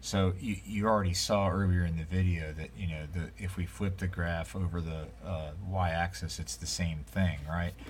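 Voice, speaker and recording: Audible room echo surrounds a man whose very deep, low voice moves at a moderate pace with lively intonation. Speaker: math teacher. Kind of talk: lecture. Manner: casual, many fillers.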